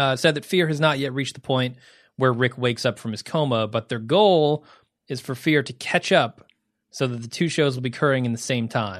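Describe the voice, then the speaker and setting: A man talks at a fairly quick pace with an ordinary speaking voice. His pitch is medium with ordinary pitch variation, and the background is quiet. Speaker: podcast host. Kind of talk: casual banter, co-hosted podcast.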